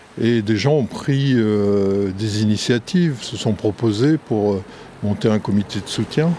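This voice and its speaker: A man's fairly low voice at a very slow pace, with ordinary pitch variation and noticeable background noise. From Brittany, France. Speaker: writer and documentary maker. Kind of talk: interview.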